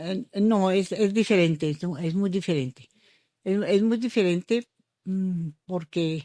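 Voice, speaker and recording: In a very clean recording with a silent background and a dry, close sound with no echo, a woman at medium pitch speaks at a very slow pace with ordinary pitch variation. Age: 80s+. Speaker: journalist. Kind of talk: interview answer. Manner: hesitant, many fillers.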